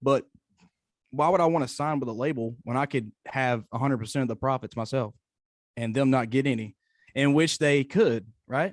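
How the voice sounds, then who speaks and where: A man with a Tennessee accent talks at a moderate pace and medium pitch, with ordinary pitch variation and long, frequent pauses. The recording is very clean, dry and close, with a silent background and no echo. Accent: Southern US (Tennessee). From East Tennessee. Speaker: country singer-songwriter. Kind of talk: interview. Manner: halting, many repetitions.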